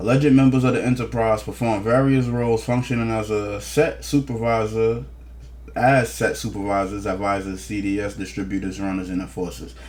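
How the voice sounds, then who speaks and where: Audible room echo surrounds a man speaking at a fairly quick pace, his fairly low pitch moving with ordinary variation. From New Jersey, East Orange. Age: 30s. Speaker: news commentator. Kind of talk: casual commentary reading court documents. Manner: fast.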